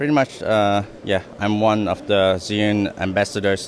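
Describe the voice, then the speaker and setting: A man speaks at a fairly low pitch. Noticeable background noise sits behind him. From Netherlands. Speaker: filmmaker and brand ambassador. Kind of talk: trade show product demo.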